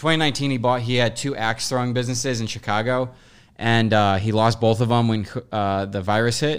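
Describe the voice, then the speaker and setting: On a very clean recording with a silent background, a man with an ordinary speaking voice talks at a fairly quick pace, medium in pitch with fairly even intonation. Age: 20s. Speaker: podcast host. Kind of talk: casual chat.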